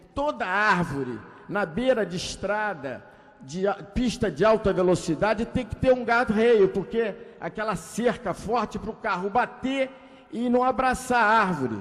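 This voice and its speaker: A man's high-pitched voice with lively intonation. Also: fairly slow pace. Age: 60s. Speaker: politician. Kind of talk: ceremonial speech. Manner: halting.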